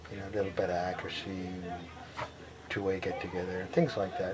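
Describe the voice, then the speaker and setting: A man with a fairly low pitch speaks amid noticeable background noise and audible room echo. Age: 70s. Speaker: veteran skydiver. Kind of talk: oral history interview. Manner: halting, many fillers.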